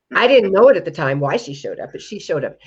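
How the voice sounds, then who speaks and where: A woman speaks with very wide pitch swings. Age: 70s. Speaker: preparedness company founder. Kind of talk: interview.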